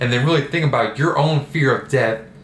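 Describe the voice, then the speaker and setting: A man's voice with ordinary pitch variation, plus noticeable background noise and audible room echo. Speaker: self-development vlogger. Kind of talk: casual monologue. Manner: casual, hesitant with repetitions.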